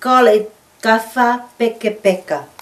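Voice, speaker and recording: A woman speaks with a Tongan accent over noticeable background noise. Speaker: craft shop owner. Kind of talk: instructional demonstration.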